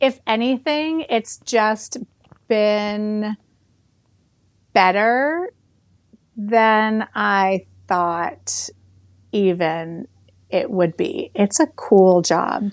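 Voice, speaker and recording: A very slow, fairly high-pitched woman with an American accent, lively intonation and long, frequent pauses. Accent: Boston accent, mostly kept under wraps. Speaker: literary agent. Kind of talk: podcast interview.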